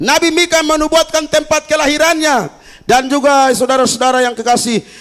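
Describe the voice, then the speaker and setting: Here a man talks in an animated tone. His pace is fairly quick. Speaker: pastor. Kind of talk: sermon. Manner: animated, engaging the congregation.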